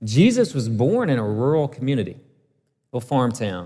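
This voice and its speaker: A man's dark, mellow voice with a Southern US accent. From US South, northeast Alabama. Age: 30s. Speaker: pastor. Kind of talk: sermon. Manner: conversational, with fillers and restarts.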